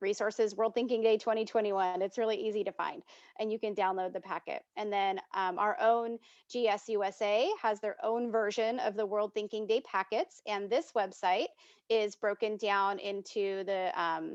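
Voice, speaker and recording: In a dry, close sound with no echo and a quiet background, a woman with an unremarkable speaking voice and fairly high pitch talks at a moderate pace with ordinary pitch variation. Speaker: volunteer trainer. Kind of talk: online training presentation. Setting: video call.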